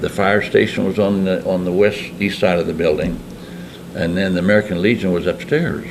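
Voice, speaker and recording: Against noticeable background noise, a man with a very deep, low pitch talks at a fairly quick pace in fairly even intonation. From Lindsborg, Kansas. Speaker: Korean War veteran. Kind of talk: interview answer. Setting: American Legion hall.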